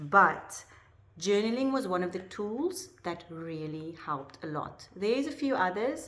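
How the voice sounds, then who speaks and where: In a South African accent, a woman at medium pitch speaks fairly slowly with very wide pitch swings and audible room echo. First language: Afrikaans. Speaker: life coach. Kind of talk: personal vlog talk to camera. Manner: hesitant, many fillers.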